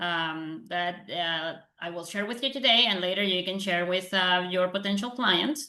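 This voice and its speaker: A woman speaks at a fairly slow pace with a Spanish accent. Her tone is bright and sharp, and her intonation is lively. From Panama. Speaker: lawyer and realtor. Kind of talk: presentation.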